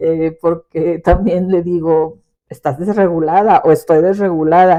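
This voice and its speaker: Fairly even intonation at a fairly slow pace. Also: woman. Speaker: podcast host and teacher. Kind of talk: personal reflection podcast. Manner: expressive; forceful.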